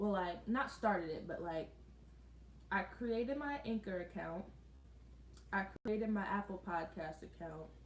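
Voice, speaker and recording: A woman speaks at a medium pitch and a fairly slow pace, with ordinary pitch variation and long, frequent pauses. Audible room echo and noticeable background noise surround her voice. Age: 20s. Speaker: lifestyle vlogger. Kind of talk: casual livestream chat. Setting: live stream at home.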